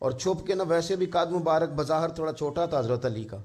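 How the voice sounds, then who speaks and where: A man talks at a fairly high pitch with ordinary pitch variation. An ordinary speaking voice. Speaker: Islamic scholar giving a religious sermon. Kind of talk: Islamic sermon (bayan) delivered to an audience, storytelling.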